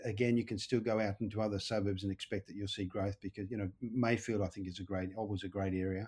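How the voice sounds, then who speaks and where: The speaker has an Australian accent and talks at a very fast pace. The voice is somewhat breathy, with monotone, flat intonation. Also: man, fairly low pitch for a man. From Wales. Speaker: buyer's agent. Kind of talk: podcast interview.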